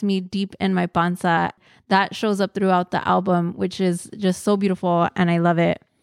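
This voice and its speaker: In a very clean recording with a silent background and a dry, close sound with no echo, a woman with a normal speaking voice talks at a moderate pace and medium pitch, her loudness very even and her intonation fairly even. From Mexican-American, grew up in US. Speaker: podcast host. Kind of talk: casual podcast monologue.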